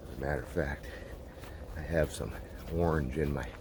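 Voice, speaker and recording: With noticeable background noise behind him, a man speaks at a fairly quick pace in a very deep, low pitch with fairly even intonation. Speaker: outdoors vlogger. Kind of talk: casual vlog narration. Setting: outdoors, hiking trail. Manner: keeping voice down.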